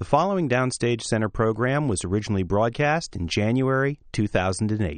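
In an ordinary speaking voice, a man of medium pitch talks at a fairly quick pace with lively intonation against a quiet background. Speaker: radio host and theater organization director. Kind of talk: interview. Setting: studio.

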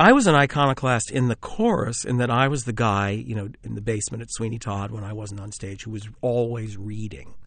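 A man with an American accent speaks at a moderate pace in a medium pitch with ordinary pitch variation, a plain, everyday voice against a quiet background. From US Northeast (Philadelphia suburbs). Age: 50s. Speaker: playwright and film director. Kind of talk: interview.

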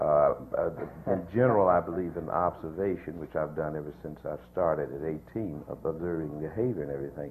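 Over noticeable background noise, a man with an American accent talks at a fairly quick pace, his very deep, low pitch showing ordinary variation. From US West Coast (San Diego). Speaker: actor. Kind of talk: panel discussion.

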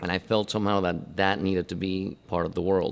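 With a Spanish accent, a man speaks at a moderate pace in a very deep, low pitch with ordinary pitch variation. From Argentina, Buenos Aires. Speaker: scenic designer. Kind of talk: interview monologue. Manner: halting, with repetitions and fillers.

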